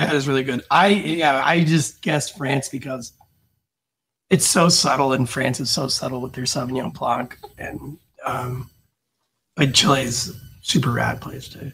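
Pausing long and often, a man with a medium pitch speaks at a moderate pace with ordinary pitch variation. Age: 40s. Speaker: sommelier and podcast host; podcast host. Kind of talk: casual chat. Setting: studio. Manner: animated. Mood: relaxed, opinionated, joking. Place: home room. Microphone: studio mic.

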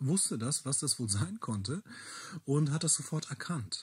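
A somewhat breathy voice speaks at a fairly slow pace in a very clean recording with a silent background. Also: man. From Bielefeld, East Westphalia, Germany. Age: 30s. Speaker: local heritage worker and language teacher with a rare disease. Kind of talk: interview testimony.

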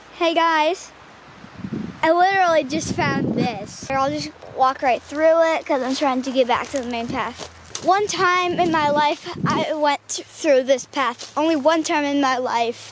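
A woman's high voice with ordinary pitch variation at a fairly slow pace, dry with no echo, amid noticeable background noise. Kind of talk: casual vlog chat. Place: forest.

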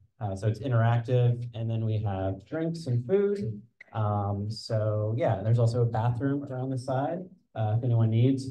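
At a moderate pace, a man talks in a dark, mellow, somewhat breathy tone with ordinary pitch variation. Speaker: community organization host. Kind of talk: event welcome remarks. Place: hall. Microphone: handheld.

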